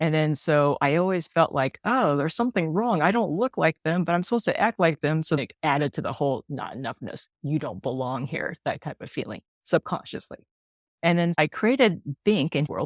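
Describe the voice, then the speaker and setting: A woman with a very deep, low pitch, lively intonation and a fairly quick pace, in a dry, close sound with no echo. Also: very clean recording, silent background. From United States, Chinese immigrant family. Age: 50s. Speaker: children's author. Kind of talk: interview.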